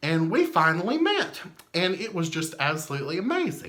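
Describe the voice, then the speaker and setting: A man's high voice in a Southern US accent, with very wide pitch swings at a moderate pace. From US South. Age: 30s. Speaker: memorabilia collector. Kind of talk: casual storytelling. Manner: animated.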